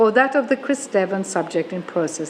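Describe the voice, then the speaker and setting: Over noticeable background noise, a woman talks at a fairly slow pace and medium pitch with lively intonation. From Australia. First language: German. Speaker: professor. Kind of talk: lecture. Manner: formal.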